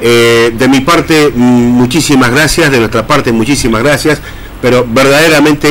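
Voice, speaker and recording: A man speaks with fairly even intonation at a moderate speed, light background noise behind him. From Argentina. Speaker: radio host. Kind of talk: casual radio chat. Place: studio.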